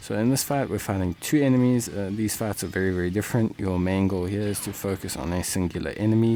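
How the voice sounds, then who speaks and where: The man speaks at a very fast pace with a fairly low pitch. His pitch varies in an ordinary way. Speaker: gaming video creator. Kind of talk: game tutorial commentary. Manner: casual, filler-heavy; measured pace.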